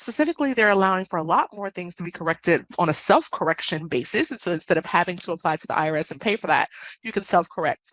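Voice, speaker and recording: Recorded with a dry, close sound and no echo, a woman uses lively intonation at a medium pitch. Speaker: benefits compliance specialist presenting a webinar. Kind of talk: webinar presentation. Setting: online webinar. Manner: fast.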